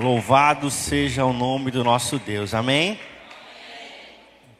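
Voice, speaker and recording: A man talks at a fairly slow pace. He has a Brazilian accent. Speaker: preacher. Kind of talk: sermon. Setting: church. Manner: animated, fervent, preaching with rhythmic repetition and exhortation.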